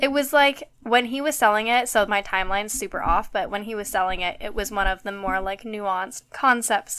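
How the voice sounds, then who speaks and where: Her pitch is fairly high with ordinary pitch variation, and her tone is bright and sharp. This woman talks at a fairly quick pace with hardly any pauses. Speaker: podcast co-host. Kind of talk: casual chat.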